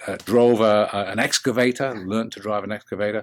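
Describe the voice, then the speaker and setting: A man with a British accent at a moderate pace, on a very clean recording with a silent background. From English Midlands, England. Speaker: business coach. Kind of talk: interview. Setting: podcast. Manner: hesitant, many fillers.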